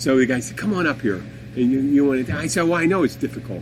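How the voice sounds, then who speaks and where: Against noticeable background noise, a man with an American accent talks with ordinary pitch variation. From Philadelphia area, US Northeast. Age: 50s. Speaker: podcast host. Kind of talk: casual chat. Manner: animated; halting.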